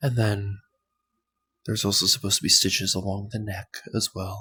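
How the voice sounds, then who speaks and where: This soft-spoken voice has a bright, sharp tone and a monotone, flat intonation. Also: man, fairly low pitch for a man, moderate pace. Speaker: ASMR creator. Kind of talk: soft-spoken ASMR ramble.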